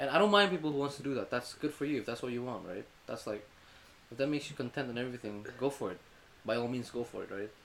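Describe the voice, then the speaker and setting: A man with an Indonesian accent at medium pitch, talking very fast with lively intonation. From Indonesia, Jakarta. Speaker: university student. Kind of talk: casual chat.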